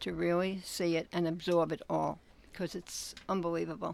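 This is a woman's voice. Her pitch is fairly low. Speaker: museum visitor. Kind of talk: casual chat. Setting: in a travel trailer.

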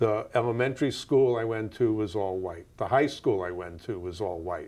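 Speaking at a moderate pace with ordinary pitch variation, a man with an American accent has an unremarkable speaking voice. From New York, US. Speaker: community organizer and discussion moderator. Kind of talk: moderated conversation across generations, recorded live.

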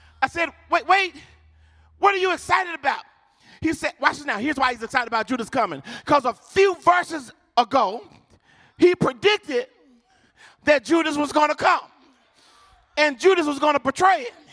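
A man's raised, projected voice at extremely high pitch, animated and lively in intonation, with an American accent, a fairly quick pace and long, frequent pauses. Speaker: preacher. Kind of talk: sermon. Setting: church with live congregation. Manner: call-and-response, urgent and fervent, pushing the crowd to shout back.

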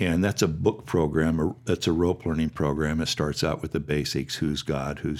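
Very deep and low, a man's voice carries vocal fry and fairly even intonation at a moderate pace. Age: 60s. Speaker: missionary and church elder. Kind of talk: interview conversation.

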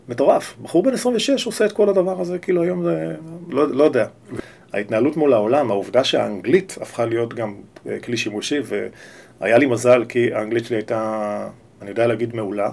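Very wide swings in pitch from a man talking fairly quickly. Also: medium pitch for a man. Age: 40s. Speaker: talent agent. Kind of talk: casual interview. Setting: office. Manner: halting.

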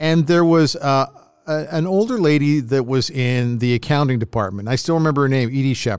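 On a very clean recording with a silent background, a man in an unremarkable speaking voice, fairly high in pitch, speaks at a moderate pace with ordinary pitch variation and very even loudness. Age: 60s. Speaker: podcast host, former radio broadcaster. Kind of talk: casual chat.

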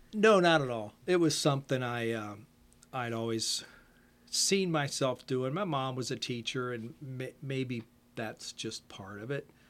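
Speaking in a plain, everyday voice, a man with an American accent and medium pitch moves at a fairly slow pace with lively intonation. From Ohio, US Midwest. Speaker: retired computer programmer and musician. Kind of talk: casual interview.

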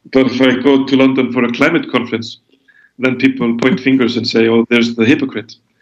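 A man speaks very fast in a medium pitch. His intonation is monotone and flat. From Iceland. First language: Icelandic. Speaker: author and environmental activist. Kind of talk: interview. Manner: halting, many fillers and repetitions.

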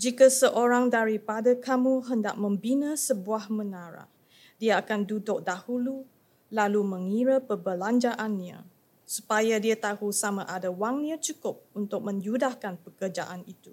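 Her voice sits fairly high, with ordinary pitch variation and a slight Chinese accent. The recording of this woman is very clean, with a silent background. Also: moderate pace, big swings in loudness. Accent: slight Chinese accent in Malay. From Malaysia. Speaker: scripture reader. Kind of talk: reading aloud scripture.

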